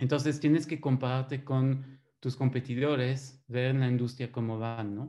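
Slow-paced and flat in intonation, a man speaks at medium pitch in a dark, mellow tone. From Belgium. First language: French (speaking Spanish). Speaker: systems engineer. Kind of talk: webinar presentation.

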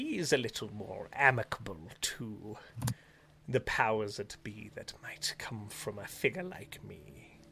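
Using a put-on character voice at a medium pitch, a man speaks at a fairly slow pace over clear background noise. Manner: polite, guarded.

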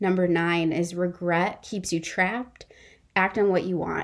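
At a moderate pace, the speaker uses an unremarkable speaking voice. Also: woman, very clean recording, silent background. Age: 30s. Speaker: podcast host. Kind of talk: solo monologue podcast.

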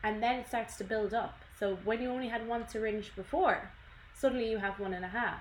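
A woman with an Irish accent speaks at a fairly quick pace in a fairly high voice. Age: 20s. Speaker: podcast co-host. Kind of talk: casual chat. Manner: animated.

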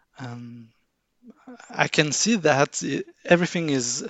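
A man is speaking. He has a French accent. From France. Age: 40s. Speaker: artwork analyst and card game fan. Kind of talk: casual interview. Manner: halting, many fillers.

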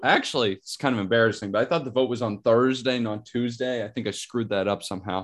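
An ordinary speaking voice from a man with an American accent, medium pitch, and ordinary pitch variation, in a quiet background. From Pittsburgh, US. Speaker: sports card podcast co-host. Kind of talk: casual chat.

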